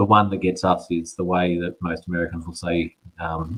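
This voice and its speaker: This man has a very deep, low pitch. He speaks with an Australian accent. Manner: quick speech with shortened vowels.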